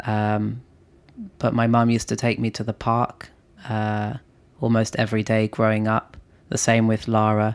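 On a very clean recording with a silent background, a man with a London accent speaks at a fairly low pitch and moderate pace, in monotone, flat intonation broken by long, frequent pauses. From London, England. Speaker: entrepreneur and investor. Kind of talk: casual chat. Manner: hesitant, many filler words.

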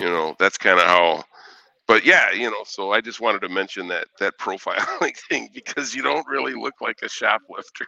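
A man at a moderate pace, recorded with a dry, close sound and no echo. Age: 50s. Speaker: truck driver. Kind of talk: casual chat.

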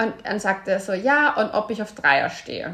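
Her intonation lively, a woman speaks in an ordinary speaking voice at medium pitch. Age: 30s. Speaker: podcast host and author. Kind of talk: casual chat.

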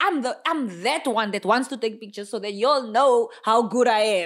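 This woman has a high pitch. Her pitch varies in an ordinary way. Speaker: podcast co-host. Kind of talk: casual chat.

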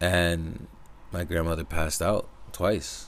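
This man has an American accent. His pitch is very deep and low. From US Northeast, Connecticut. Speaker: podcaster. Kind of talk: personal monologue. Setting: speaking into a microphone.

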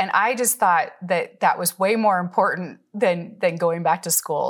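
On a very clean recording with a silent background, a woman speaks at a moderate pace and medium pitch. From US Pacific Northwest, Seattle area. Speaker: retired businesswoman turned ministry teacher. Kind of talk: casual interview, personal testimony.

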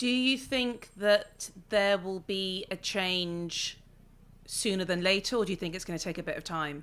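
In a very clean recording with a silent background, a woman with a London accent speaks at a moderate pace, using a medium pitch and ordinary pitch variation. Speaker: podcast host. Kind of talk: casual interview chat.

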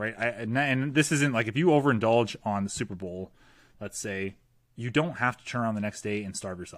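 A man with a Canadian accent in a normal speaking voice, medium-pitched, at a fairly quick pace, with ordinary pitch variation and big swings in loudness, on a very clean recording with a silent background. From Canada. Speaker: fitness coach. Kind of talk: casual interview.

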